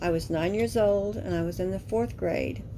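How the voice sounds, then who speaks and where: A woman is talking at a moderate pace. Behind her voice, there is music. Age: 60s. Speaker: author reading her own book. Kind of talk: memoir reading.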